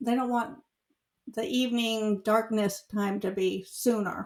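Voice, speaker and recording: A woman's fairly high voice, at a fairly slow pace with fairly even intonation. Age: 60s. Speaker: podcast co-host. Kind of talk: casual chat. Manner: halting, many fillers.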